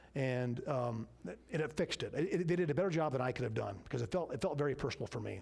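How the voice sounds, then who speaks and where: Vocal fry runs through this very fast delivery with ordinary pitch variation. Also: man. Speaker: business owner teaching a church class. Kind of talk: church class Q and A.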